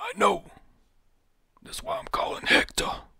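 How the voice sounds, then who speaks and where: In a raspy, put-on character voice pitched extremely high, a man speaks at a moderate pace. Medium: read story. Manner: brash, blunt.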